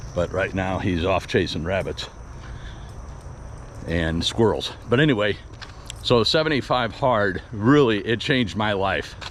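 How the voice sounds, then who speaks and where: Amid noticeable background noise, a man talks with lively intonation and long, frequent pauses. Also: fairly slow pace. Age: 60s. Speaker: vlogger. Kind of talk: casual monologue while walking. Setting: outdoors, walking with dog. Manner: rambling, conversational.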